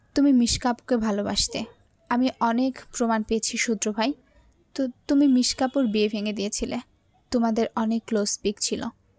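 In a shaky, put-on character voice with a fairly high pitch and fairly even intonation, a woman speaks at a moderate pace, the sound dry and close with no echo.

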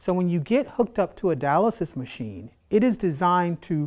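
Against a quiet background, a man with a high pitch and a dark, mellow tone makes very wide pitch swings. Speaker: biology instructor. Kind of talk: tutorial. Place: classroom. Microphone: lapel.

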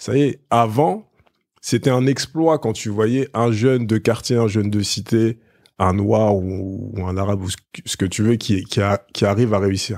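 In a plain, everyday voice, a man talks at a fairly slow pace with fairly low pitch and ordinary pitch variation on a very clean recording with a silent background. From Paris suburbs, Essonne (Évry). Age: 30s. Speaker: media entrepreneur. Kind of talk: casual interview.

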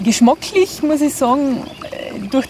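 Over light background noise, a woman with a Carinthian accent speaks with ordinary pitch variation in a dry sound with no echo. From Austria, Carinthia. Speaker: health blogger. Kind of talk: self-introduction to camera. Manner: casual, colloquial. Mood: cheerful, smiling. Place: garden.

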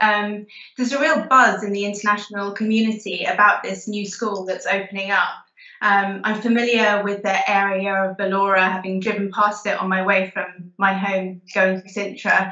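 In a quiet background with audible room echo, a woman speaks at a moderate pace and medium pitch in a monotone, flat intonation. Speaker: teacher. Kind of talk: webinar Q&A answers. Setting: video call. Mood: warm, smiling, enthusiastic. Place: home room. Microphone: video call.

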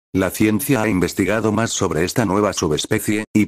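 An unremarkable speaking voice at a moderate pace, in a very clean recording with a silent background and a dry, close sound with no echo. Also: man. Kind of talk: ghost story telling, scripted creepypasta narration. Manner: grave, ominous, even-paced delivery of a dated timeline of disappearances.

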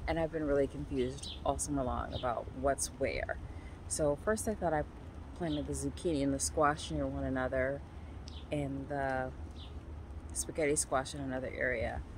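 Long, frequent pauses mark a woman's moderate-paced speech. The sound is dry with no echo, though there's noticeable background noise. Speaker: home gardener vlogger. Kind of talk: casual vlog chat. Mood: amused, chatty. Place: garden. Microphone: phone near.

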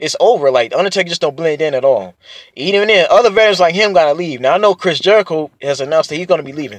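Dry and free of echo, the recording has a man talking at a very fast pace. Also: quiet background. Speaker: wrestling fan vlogger. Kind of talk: casual vlog chat. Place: car. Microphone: phone near.

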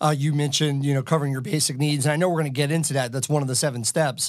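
A man talks at a very fast pace, fairly high in pitch, with monotone, flat intonation. The recording is very clean, with a silent background. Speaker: financial planner. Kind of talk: podcast interview.

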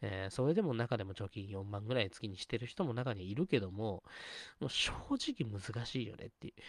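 A man's normal speaking voice, fairly low and fairly quick, with a dry, close sound, no echo and a quiet background. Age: 30s. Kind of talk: casual solo talk stream. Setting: live stream, solo. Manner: rambling, filler-heavy.

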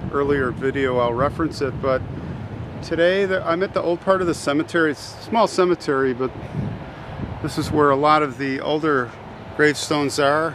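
A man speaks with long, frequent pauses in a dry recording with no echo, over noticeable background noise. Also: ordinary pitch variation, moderate pace. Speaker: cemetery vlogger. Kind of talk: casual vlog chat. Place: open country. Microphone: phone near.

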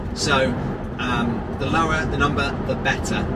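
A man talks over loud background noise. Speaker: vlogger. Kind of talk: casual vlog chat. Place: car.

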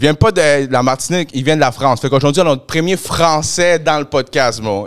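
A man with a Quebec accent speaks at fairly high pitch against a quiet background. His pitch variation is ordinary. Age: 30s. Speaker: podcast host. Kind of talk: casual chat. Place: studio. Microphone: handheld.

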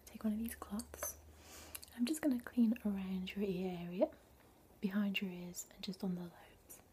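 A woman talks at a moderate pace with ordinary pitch variation and big swings in loudness, against light background noise. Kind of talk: soft-spoken role-play talk to the viewer. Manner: soft, gentle ASMR speaking voice. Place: home room. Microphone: webcam.

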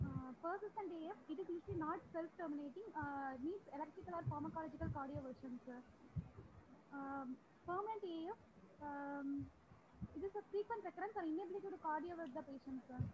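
Pitched high with ordinary pitch variation, a woman speaks at a fairly quick pace amid noticeable background noise. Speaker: anaesthesiology postgraduate student. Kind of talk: oral quiz answers. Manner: halting. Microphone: video call.

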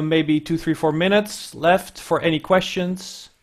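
In a quiet setting, a man speaks at a high pitch with monotone, flat intonation. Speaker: audio education specialist and webinar co-host; webinar co-host. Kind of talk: webinar hosting and instructions. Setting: video call. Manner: hesitant with many fillers. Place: office. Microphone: earbuds.

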